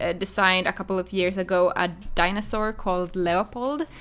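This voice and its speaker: A woman with a strong Finland-Swedish accent, medium pitch, a bright, sharp tone and a moderate pace. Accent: heavy Finland-Swedish. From Finland, Swedish-speaking. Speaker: crochet designer and streamer. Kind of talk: live stream chat while crocheting. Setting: live stream.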